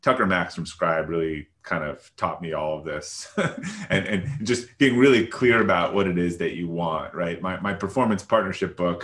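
This man has a very deep, low voice and speaks at a moderate pace with ordinary pitch variation. The background is quiet. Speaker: remote podcast guest. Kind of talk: interview answer. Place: home room. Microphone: video call.

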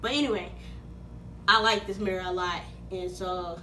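Light background noise accompanies a woman's speech. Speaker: vlogger. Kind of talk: casual vlog chat. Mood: cheerful, playful. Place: home room. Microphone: phone near.

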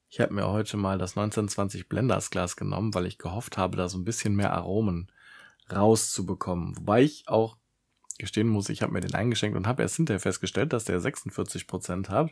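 A man with a normal speaking voice, a fairly low pitch, ordinary pitch variation and a fairly quick pace against a quiet background. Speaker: whisky reviewer, video creator; whisky reviewer. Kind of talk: solo tasting review vlog. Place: home room. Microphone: studio mic.

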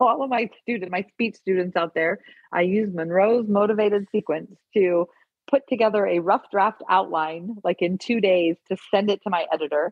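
The woman's pitch is medium, with ordinary variation. She speaks at a moderate pace. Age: 50s. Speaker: documentary filmmaker. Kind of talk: casual chat.

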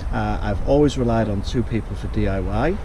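A man's voice sounds dry with no echo, and noticeable background noise is present. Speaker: home DIY vlogger. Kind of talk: casual vlog chat. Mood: cheerful, self-deprecating. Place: garden. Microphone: phone near.

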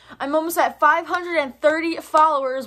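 The woman uses a raised, projected voice. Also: quiet background. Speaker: vlogger. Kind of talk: casual vlog chat. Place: home room. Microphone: phone near.

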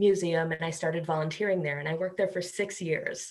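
A woman's somewhat breathy voice with a fairly low pitch. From Chicago area, US. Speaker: primatologist professor. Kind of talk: interview. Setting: video call.

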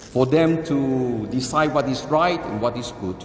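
At a fairly slow pace, a man speaks in a solemn tone, with audible room echo and light background noise. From Singapore. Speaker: archbishop giving homily. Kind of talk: sermon. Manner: earnest, solemn, admonishing; measured, deliberate, preacherly. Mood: earnest, admonishing. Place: church.

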